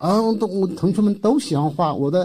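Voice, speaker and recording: The man's voice is high-pitched. His tone is dark and mellow. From Hunan, rural China. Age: 60s. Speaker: art professor and painter. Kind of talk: interview. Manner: halting, many fillers.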